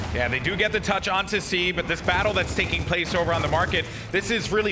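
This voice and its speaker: Very fast speech with ordinary pitch variation over noticeable background noise. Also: man. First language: not English (English is third language). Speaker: esports caster. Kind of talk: live commentary. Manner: animated.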